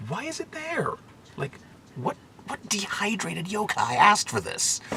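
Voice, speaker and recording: A man with an American accent at a fairly slow pace, his pitch swinging very widely, over noticeable background noise. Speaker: food vlogger. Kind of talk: casual vlog. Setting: capsule hotel pod. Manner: quiet, hushed; hesitant, many fillers.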